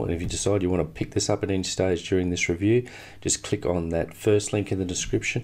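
Talking at a very fast pace, a man has a very deep, low pitch. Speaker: affiliate product reviewer. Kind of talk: screen-share product review. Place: home room.

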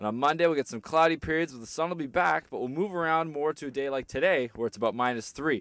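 Recorded very cleanly against a silent background with a dry, close sound and no echo, a man with an unremarkable speaking voice talks at a fairly quick pace, fairly high in pitch and lively in intonation. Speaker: student weather presenter. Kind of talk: casual scripted weather forecast. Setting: outdoors. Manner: friendly, light conversational delivery.

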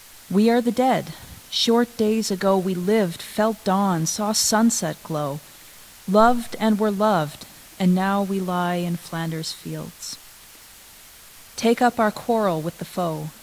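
A woman's very slow delivery with long, frequent pauses and ordinary pitch variation. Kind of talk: prayer and poem reading in a service. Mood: solemn, reverent. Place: church. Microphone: podium.

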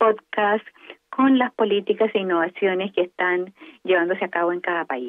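Her voice comes across dry and close with no echo as the woman talks at a moderate pace.

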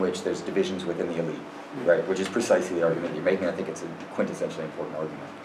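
Against noticeable background noise, a man speaks with a very deep, low pitch and fairly even intonation. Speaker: workshop organizer moderating. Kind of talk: moderating discussion. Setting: seminar room. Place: classroom. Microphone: camera far.

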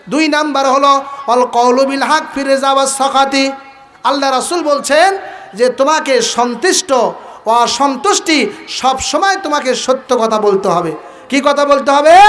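The man's voice sits at an extremely high pitch, with ordinary pitch variation and very even loudness. Audible room echo and noticeable background noise surround him. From Bangladesh, Gaibandha (northern Bangladesh). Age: young. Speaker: Islamic preacher and madrasa head teacher. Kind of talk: sermon at a religious gathering.

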